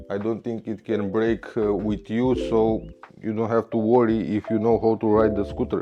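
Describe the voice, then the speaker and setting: With a non-native accent, a man speaks at a fairly low pitch with fairly even intonation. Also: moderate pace. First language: Romanian. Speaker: scooter repair technician. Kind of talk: repair tutorial. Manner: halting, with many fillers.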